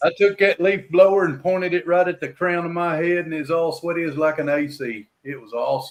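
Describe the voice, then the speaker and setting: This man has a high pitch with ordinary variation. He speaks at a fairly quick pace with hardly any pauses. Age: old. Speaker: livestream host of open mic panel. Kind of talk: casual chat. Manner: loud.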